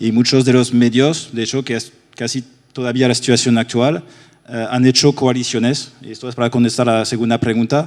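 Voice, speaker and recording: In a French accent, a man talks at a fairly quick pace with a medium pitch. His intonation is monotone and flat. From France. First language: French (speaking Spanish). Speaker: ad-tech industry panelist. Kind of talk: panel discussion.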